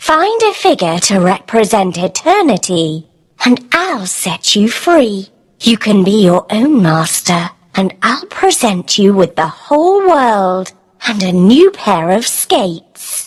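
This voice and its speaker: Woman's put-on character voice, medium in pitch, with very wide pitch swings at a fairly slow pace. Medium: read story. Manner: cool, commanding.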